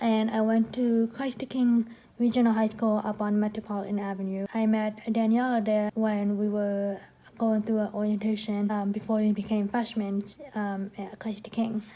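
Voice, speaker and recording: A woman's fairly high, monotone voice with flat intonation, at a moderate pace, in an American accent. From New York, Queens. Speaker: vlogger. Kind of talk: casual vlog talk.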